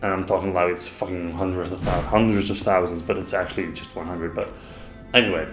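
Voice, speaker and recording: This man talks very fast in a flat monotone, his pitch very deep and low. Music plays in the background, and room echo is audible. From Netherlands. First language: Dutch. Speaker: gaming YouTuber. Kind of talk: casual vlog monologue. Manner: halting.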